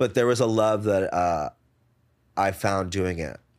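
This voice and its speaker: Fairly low in pitch, a man's voice shows ordinary pitch variation. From New Jersey, US. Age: 30s. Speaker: DJ, writer and event producer. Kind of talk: casual interview chat. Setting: in-person recording with cameras. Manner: laughs often.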